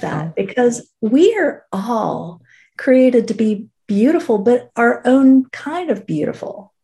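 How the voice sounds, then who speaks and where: At a fairly slow pace, a woman talks with a fairly high, somewhat breathy voice in a dark, mellow tone. Her pitch swings very widely. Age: 50s. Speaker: fashion stylist, boutique owner. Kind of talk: casual chat.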